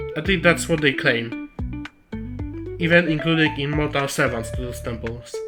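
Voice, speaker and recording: A non-native accent over music in the background. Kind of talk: video lore essay. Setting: recorded on camera audio, slightly muffled. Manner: joking, irreverent.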